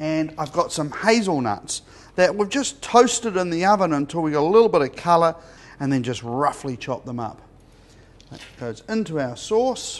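The loudness swings widely from moment to moment. Delivery moves at a moderate pace. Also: man. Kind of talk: tutorial. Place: kitchen.

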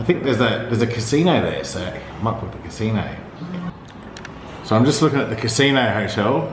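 Recorded with audible room echo and light background noise, a man is speaking. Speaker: vlogger. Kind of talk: casual vlog chat. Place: home room. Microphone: phone near.

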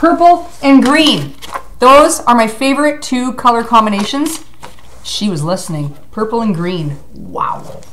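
Over light background noise, a woman with a high voice talks at a fairly slow pace, her pitch swinging very widely. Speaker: vlogger. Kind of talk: casual vlog chat. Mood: excited, grateful. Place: home room. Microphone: webcam.

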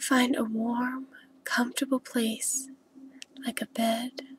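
The soft-spoken voice is calm and very slow, with monotone, flat intonation. The sound is dry and close, with no echo. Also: woman. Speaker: ASMR creator. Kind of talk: guided relaxation visualization. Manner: soft-spoken, slow, calm.

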